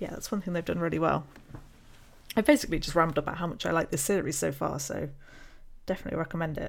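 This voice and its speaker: A woman with a British accent talks at a very fast pace, her fairly low voice showing vocal fry and ordinary pitch variation, broken by long, frequent pauses. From UK. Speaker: podcast co-host, PhD student. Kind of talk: casual chat, podcast discussion.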